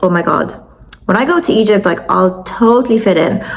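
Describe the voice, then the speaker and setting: An animated woman with an Irish accent talks at a fairly quick pace with lively intonation, against noticeable background noise. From Ireland. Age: 30s. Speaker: vlogger. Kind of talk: personal storytelling.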